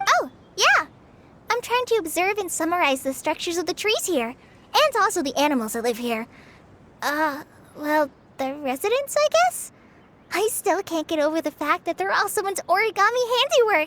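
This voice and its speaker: It's a put-on character voice at an extremely high pitch. The pace is moderate. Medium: video game. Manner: earnest, slightly hesitant.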